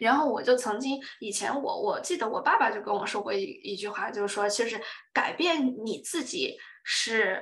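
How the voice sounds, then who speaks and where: A woman speaks at a moderate pace with a fairly high pitch and lively intonation, and the room echo is audible. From China, Yunnan (Dali). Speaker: career and relationship blogger. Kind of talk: casual chat.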